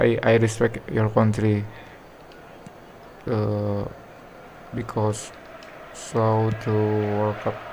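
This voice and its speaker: A man's fairly low, monotone voice with an Indonesian accent, very slow with long, frequent pauses, over noticeable background noise. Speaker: game streamer. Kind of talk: casual chat. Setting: live stream.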